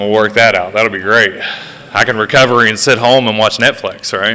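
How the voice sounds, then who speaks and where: A man talks at a moderate pace with an Appalachian accent, his intonation monotone and flat. Noticeable background noise runs behind him. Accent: Appalachian American. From West Virginia. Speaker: recovery speaker. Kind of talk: testimony. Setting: stage with audience. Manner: loud.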